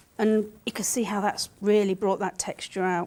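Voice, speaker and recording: In a British accent, a woman speaks at a fairly slow pace with a medium-pitched, dark, mellow tone and monotone, flat intonation. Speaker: art demonstrator. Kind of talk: live art tutorial. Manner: halting while concentrating; casual, chatty.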